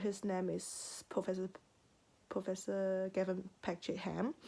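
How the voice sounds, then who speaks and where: A woman's medium-pitched, dark, mellow voice with a non-native accent, fairly slow pace and monotone, flat intonation. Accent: non-native accent, noticeable. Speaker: university student. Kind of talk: personal narrative speech. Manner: halting, many self-corrections.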